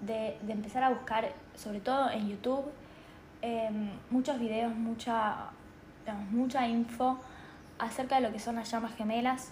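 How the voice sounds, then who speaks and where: The speech is fairly slow with long, frequent pauses and fairly even intonation, carrying audible room echo. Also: woman. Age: 20s. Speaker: spiritual podcaster. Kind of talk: personal monologue. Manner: halting, many fillers.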